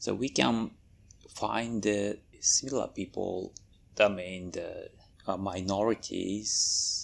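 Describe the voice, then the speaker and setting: With a Japanese accent, a man speaks at a very slow pace, pausing long and often. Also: very clean recording, silent background. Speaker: furry convention staff member. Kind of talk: interview. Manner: halting.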